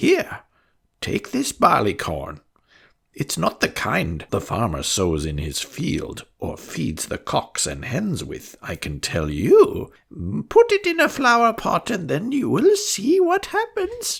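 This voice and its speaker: A man puts on a character voice. He talks at a fairly slow pace. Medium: read story. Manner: knowing, confiding.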